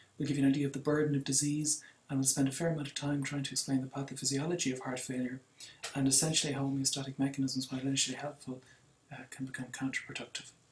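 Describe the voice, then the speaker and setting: Speaking very fast in a monotone, flat intonation, a man with an Irish accent has a fairly high pitch and a somewhat breathy voice. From Ireland. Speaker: cardiologist lecturer. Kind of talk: lecture.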